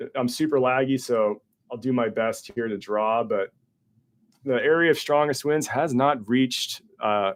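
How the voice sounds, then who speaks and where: Mumbling at a moderate pace, a man speaks at medium pitch with ordinary pitch variation. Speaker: weather forecaster. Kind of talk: livestream weather briefing. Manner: casual, with many fillers.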